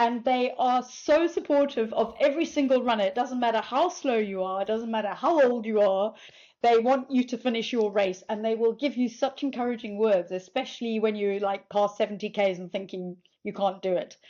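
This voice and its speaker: A woman in a plain, everyday voice talks at a fairly quick pace, her fairly high pitch showing ordinary variation. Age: 60s. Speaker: ultramarathon runner. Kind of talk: podcast interview answer.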